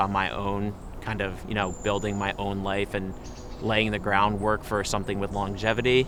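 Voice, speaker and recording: A man with an American accent speaks at a fairly quick pace in a fairly low voice, with noticeable background noise. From New Jersey, Ocean Township. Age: 20s. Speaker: interviewee answering a personal question. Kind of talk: personal reflective monologue.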